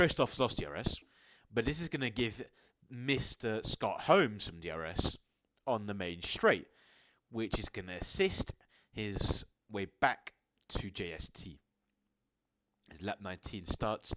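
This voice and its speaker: A hoarse, put-on character voice moves at a moderate pace with lively intonation and long, frequent pauses. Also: man, fairly low pitch for a man. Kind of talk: live sports commentary.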